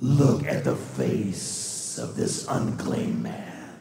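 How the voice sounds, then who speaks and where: A man's put-on character voice at a very slow pace, with clear echo. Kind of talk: dramatic reading of a character's lines. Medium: stage play. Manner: terse, solemn. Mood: stern.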